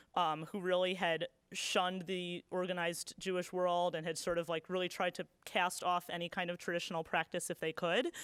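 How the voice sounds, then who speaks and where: In a very clean recording with a silent background, a woman with an American accent speaks in a monotone, flat intonation. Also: fairly quick pace. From United States. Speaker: novelist and literary scholar. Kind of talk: lecture Q&A. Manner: casual, many fillers.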